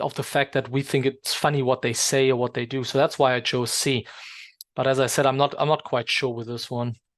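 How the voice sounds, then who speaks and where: A man talks at a fairly quick pace. His medium-pitched voice stays monotone and flat. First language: not English. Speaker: English exam teacher. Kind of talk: tutorial. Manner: hesitant, many fillers.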